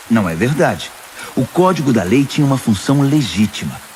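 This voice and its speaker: A medium-pitched man against noticeable background noise. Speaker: voice actor; pastor. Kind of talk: audio Bible reading.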